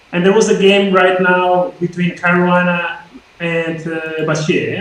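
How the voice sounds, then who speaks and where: Through noticeable background noise, a man with a Spanish accent speaks at a moderate pace. His pitch is high, and his intonation is fairly even. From Spain. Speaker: chess grandmaster. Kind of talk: casual chess lesson commentary.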